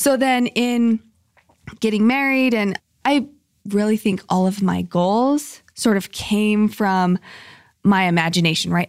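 A woman's medium-pitched, ordinary speaking voice with an American accent and ordinary pitch variation, dry and close with no echo, on a very clean recording with a silent background. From Utah, Salt Lake City. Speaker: charity founder and podcast host. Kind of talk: interview.

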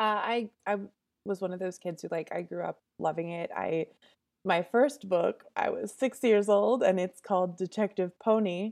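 A woman with an American accent and a plain, everyday voice, medium pitch, ordinary pitch variation and a moderate pace, on a very clean recording with a silent background. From suburban Massachusetts near Boston. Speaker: novelist. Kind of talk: interview. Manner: casual, with frequent fillers and laughter.

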